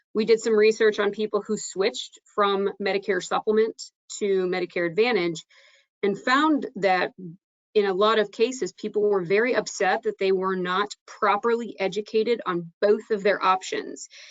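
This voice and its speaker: A woman speaks in a normal speaking voice at medium pitch. Her pace is moderate, with ordinary pitch variation. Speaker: insurance trainer presenting to agents. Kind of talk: webinar presentation.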